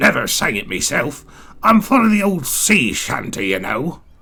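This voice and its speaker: A raspy, put-on character voice moves at a moderate pace with very wide pitch swings. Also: man, fairly high pitch for a man. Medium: read story. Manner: jolly sailor talk.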